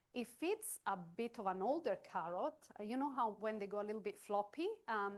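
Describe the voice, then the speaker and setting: Speaking at a moderate pace, a woman with a non-native accent has a fairly high voice. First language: not English. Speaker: chef. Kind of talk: cooking demonstration. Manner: halting.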